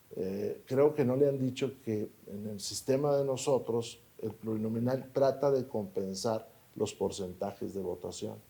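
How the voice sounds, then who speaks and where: This man's voice sits at a medium pitch and has a dark, mellow tone. He speaks at a fairly slow pace with ordinary pitch variation. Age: 60s. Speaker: politician. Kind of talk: interview.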